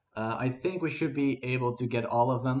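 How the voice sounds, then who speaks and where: With a Dutch accent, a man talks at a moderate pace while music plays in the background. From Netherlands. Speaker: gaming streamer. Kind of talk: casual gameplay commentary. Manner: halting, many fillers.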